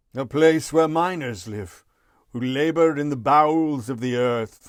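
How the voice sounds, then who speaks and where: In a put-on character voice, this man delivers his lines fairly slowly and fairly high in pitch. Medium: read story.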